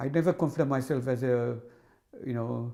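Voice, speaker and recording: In a Tamil accent, a man speaks at a moderate pace with a medium pitch and a dark, mellow tone. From Sri Lanka (northern, Jaffna area). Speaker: hydrology professor. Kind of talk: interview. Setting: office. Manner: halting, many repetitions and fillers.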